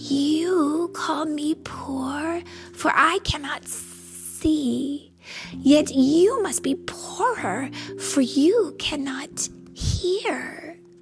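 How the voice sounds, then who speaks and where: Over clear background music, a woman speaks very slowly in a put-on character voice. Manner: laughing, taunting.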